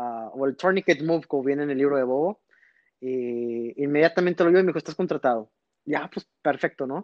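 At a fairly quick pace, a man talks in an ordinary speaking voice with fairly high pitch. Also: ordinary pitch variation. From northern Mexico, Reynosa, Tamaulipas. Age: 30s. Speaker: magician, former magic shop employee. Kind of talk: casual interview.

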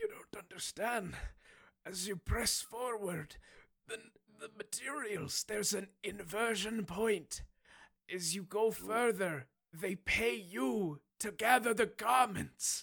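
A put-on character voice comes through at a fairly high pitch. The pace is fairly slow. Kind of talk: mock-epic prophetic speech. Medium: actual play. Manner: solemn, fatalistic, ominous.

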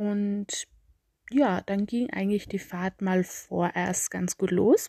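In an Austrian accent, a woman talks at medium pitch with a dark, mellow tone, the sound dry and close with no echo against a quiet background. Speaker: travel podcaster. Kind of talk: storytelling monologue.

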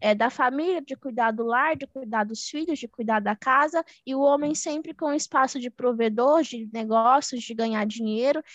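A woman's lively intonation carries through at a moderate pace. The sound is dry and close, with no echo. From Minas Gerais, Brazil. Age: 20s. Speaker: economist and investment mentor. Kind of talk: podcast interview.

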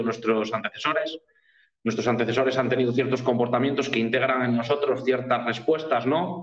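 This man talks at a fairly quick pace, with a medium pitch and fairly even intonation. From Spain, Cantabria (Pas valleys). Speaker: nutritionist. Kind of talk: interview. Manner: halting.

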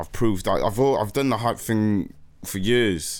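In an ordinary speaking voice, a man talks at a fairly slow pace and a fairly low pitch. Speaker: rapper, nominated artist.

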